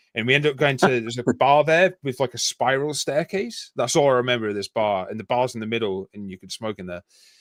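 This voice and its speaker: Talking at a very fast pace, a man with a Yorkshire accent holds a medium pitch with ordinary pitch variation. The recording is very clean with a silent background, and the sound is dry and close with no echo. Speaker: army veteran. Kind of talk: casual chat.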